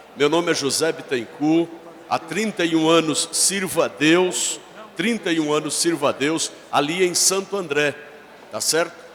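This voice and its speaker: Background noise is noticeable behind a man's fairly high voice. He speaks at a moderate pace with ordinary pitch variation. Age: 60s. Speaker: pastor. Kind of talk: church greeting speech. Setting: church service.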